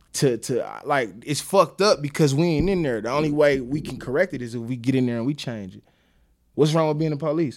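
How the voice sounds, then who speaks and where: This man has a fairly high pitch and ordinary pitch variation. He moves at a fairly quick pace with big swings in loudness. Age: 30s. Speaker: guest, former street figure and father. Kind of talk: casual chat.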